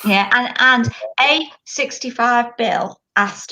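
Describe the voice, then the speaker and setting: A woman with a bright, sharp tone speaks at a very slow pace with ordinary pitch variation. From Liverpool, England. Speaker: webinar co-host. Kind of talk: casual chat.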